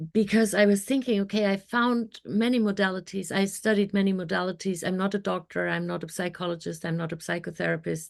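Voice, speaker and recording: With a German accent, a woman rattles along at a very fast pace with hardly any pauses, her medium-pitched voice keeping fairly even intonation. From Germany. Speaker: mindset coach. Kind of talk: podcast interview.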